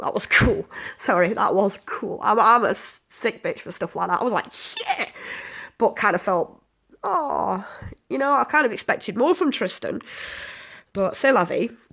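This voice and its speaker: A woman's fairly high voice has a bright, sharp tone and very wide pitch swings, broken by long, frequent pauses. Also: moderate pace. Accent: British. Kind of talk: casual review to camera. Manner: sniffing, snorting.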